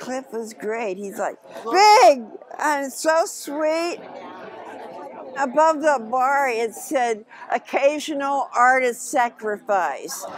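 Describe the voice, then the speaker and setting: Over noticeable background noise, a woman with an American accent and a high pitch speaks at a very slow pace with lively intonation. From Oakland, California. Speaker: musician and performer. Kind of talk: interview answer. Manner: casual, brash.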